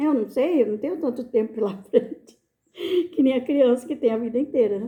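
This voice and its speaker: This woman's voice is high-pitched with a dark, mellow tone. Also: ordinary pitch variation, moderate pace. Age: 60s. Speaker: vlogger grandmother. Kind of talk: casual storytelling monologue. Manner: hesitant, with filler words.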